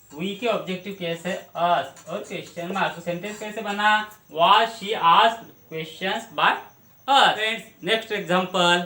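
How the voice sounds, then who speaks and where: This man's pitch is high and his voice raised and projected. His intonation stays fairly even. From Maharashtra, India. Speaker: English grammar teacher. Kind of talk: grammar tutorial.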